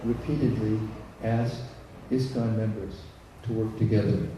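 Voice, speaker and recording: A man speaks at a moderate pace and medium pitch, with fairly even intonation and long, frequent pauses. Audible room echo and noticeable background noise surround him. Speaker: visiting lecturer. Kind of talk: lecture with consecutive interpretation.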